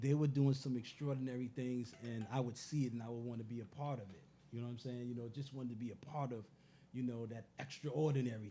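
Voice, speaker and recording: The speaker talks at a very fast pace with a dark, mellow tone. The delivery is somewhat breathy, with fairly even intonation. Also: man, medium pitch for a man, big swings in loudness. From New York City, Bronx and Harlem. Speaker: musician and former streetball player. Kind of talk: interview. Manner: halting, many fillers.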